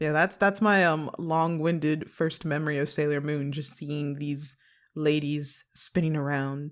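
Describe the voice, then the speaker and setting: On a very clean recording with a silent background, a woman with an American accent speaks at a very deep, low pitch, fairly slowly, in a monotone, flat way. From US Midwest, Chicago western suburbs, Illinois. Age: 20s. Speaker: animation production coordinator. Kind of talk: podcast interview.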